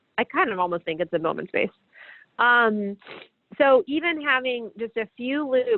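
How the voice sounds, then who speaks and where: A woman speaks at a fairly quick pace. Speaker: veterinary pathologist leading case rounds. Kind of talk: lecture. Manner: fast.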